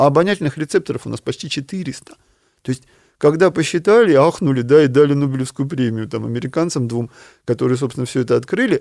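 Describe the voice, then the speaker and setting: On a very clean recording with a silent background and a dry, close sound with no echo, a man talks at a very fast pace with a fairly high pitch, ordinary pitch variation and big swings in loudness. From Ukraine, small steppe town. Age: 50s. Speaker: neuroscientist professor. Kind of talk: interview.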